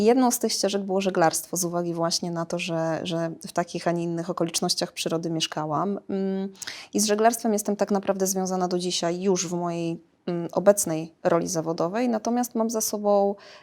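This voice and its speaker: At a fairly quick pace, a woman talks in an ordinary speaking voice at medium pitch with fairly even intonation. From Poland, Iława (Warmia-Masuria). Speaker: sports psychologist. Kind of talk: interview. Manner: repeats words while thinking.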